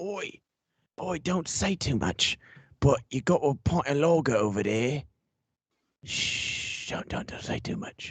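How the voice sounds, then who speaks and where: In a put-on character voice with a British accent, the speaker rasps along at a fairly slow pace, leaving long, frequent pauses. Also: man, high pitch for a man. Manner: hushed, whispering.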